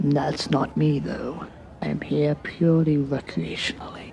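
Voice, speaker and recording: Someone whispers in a put-on character voice at a moderate pace, with clear music in the background. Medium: audio drama. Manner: frank, opinionated.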